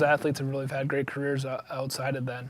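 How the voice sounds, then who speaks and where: Noticeable background noise runs under this recording. A man talks over it at a very fast pace. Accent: Wisconsin. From Wisconsin, US. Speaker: cross country coach. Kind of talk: interview. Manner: casual, with frequent fillers.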